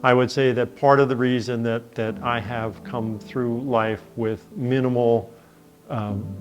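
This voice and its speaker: Music plays in the background as a man speaks. His pace is fairly slow and his intonation fairly even. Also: medium pitch for a man. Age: 60s. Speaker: patient advocate. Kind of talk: testimony. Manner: halting with fillers.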